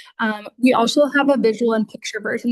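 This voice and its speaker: In a dry, close sound with no echo, a woman talks at a fairly quick pace with a fairly high pitch and fairly even intonation. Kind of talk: lecture. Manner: fast.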